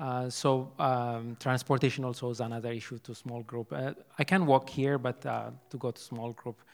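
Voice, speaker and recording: Speaking at a moderate pace with an Ethiopian accent, a man with a medium pitch keeps fairly even intonation while his loudness swings widely. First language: Amharic. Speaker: church member. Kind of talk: testimony. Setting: church service with congregation. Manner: halting.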